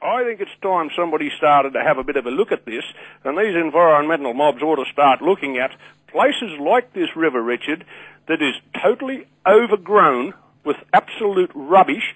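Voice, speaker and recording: A man with a strong Australian accent, fairly high pitch, lively intonation and moderate pace, in a dry, close sound with no echo. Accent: broad Australian. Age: 60s. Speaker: caller. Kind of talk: radio call-in. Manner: animated.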